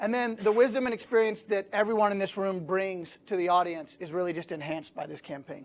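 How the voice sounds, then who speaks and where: A man's high-pitched voice at a moderate pace with ordinary pitch variation. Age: 40s. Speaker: ad agency creative lead presenting to recruiters. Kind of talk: presentation webinar. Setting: live webinar with room audience. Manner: casual, with frequent fillers.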